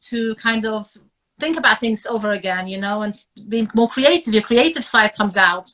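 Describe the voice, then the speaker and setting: At a moderate pace, a woman speaks in a bright, sharp tone. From Iraq, raised in England. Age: 30s. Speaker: author and family doctor. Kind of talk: interview. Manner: hesitant, many fillers.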